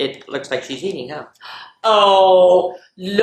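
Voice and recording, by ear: A quiet background sits behind this natural-sounding read-aloud voice.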